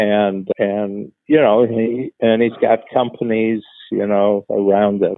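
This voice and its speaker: At a very slow pace, a man speaks at a medium pitch. His intonation stays fairly even. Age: 70s. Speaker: podcast co-host, business coach. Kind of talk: casual chat. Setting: video call. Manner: halting.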